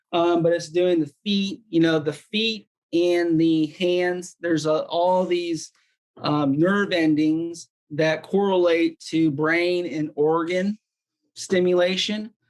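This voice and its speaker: The delivery is very slow. Its loudness stays very even throughout. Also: man, high pitch for a man. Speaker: wellness device demonstrator. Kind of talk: product demonstration. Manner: casual, filler-heavy.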